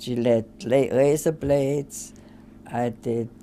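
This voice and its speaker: Speaking in an Austrian accent, a woman uses a dark, mellow tone touched with vocal fry. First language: German. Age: 80s+. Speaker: retired social scientist. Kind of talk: interview. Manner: halting.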